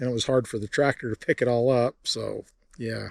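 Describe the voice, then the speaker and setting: The recording is dry and close with no echo, carrying a man's medium-pitched voice in a flat monotone. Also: quiet background. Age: 60s. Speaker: farmer. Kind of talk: vlog narration; casual chat.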